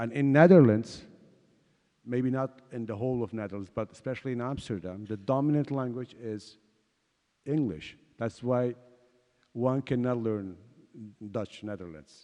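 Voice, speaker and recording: With a Kurdish accent, a man speaks in a dark, mellow tone at a moderate pace and medium pitch, using ordinary pitch variation and long, frequent pauses. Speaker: exiled writer and translator, panelist. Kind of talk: panel discussion. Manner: halting, many fillers.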